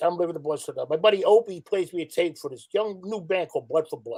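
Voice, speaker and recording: Speaking at a fairly quick pace, a man talks with a New York accent. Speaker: former club security worker. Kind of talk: casual chat.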